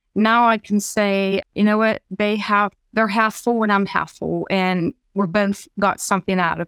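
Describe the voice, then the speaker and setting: A woman talks at a moderate pace with a fairly high pitch. She has a plain, everyday voice. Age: 50s. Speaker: dating podcast guest. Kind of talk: casual interview.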